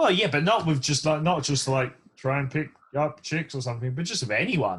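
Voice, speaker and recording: A man with an English accent, fairly high pitch, fairly quick pace and ordinary pitch variation. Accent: English accent, often mistaken for Australian. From England, south London. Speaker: race engineer and drifter. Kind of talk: casual chat. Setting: podcast.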